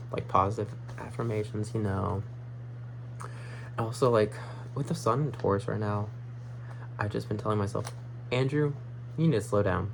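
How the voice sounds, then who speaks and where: With long, frequent pauses, a medium-pitched man speaks with fairly even intonation amid audible room echo. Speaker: astrology vlogger. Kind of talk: casual monologue vlog. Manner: fast; rambling with frequent fillers.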